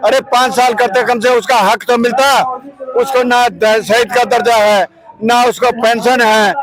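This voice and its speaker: Extremely high male voice with fairly even intonation and noticeable background noise. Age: 70s. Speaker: retired soldier, protester. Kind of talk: protest speech to reporter. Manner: impassioned.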